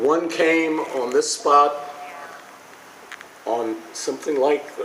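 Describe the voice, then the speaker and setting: This man's speech carries audible room echo, with noticeable background noise behind it. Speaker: speaker at commemorative ceremony. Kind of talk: ceremonial speech. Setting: outdoors with audience. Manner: halting, frequent repetitions.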